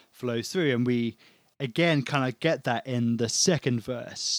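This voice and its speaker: Recorded with a dry, close sound and no echo, a man of medium pitch speaks with a British accent and ordinary pitch variation. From England. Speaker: church member and worship musician. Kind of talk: casual chat. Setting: remote call.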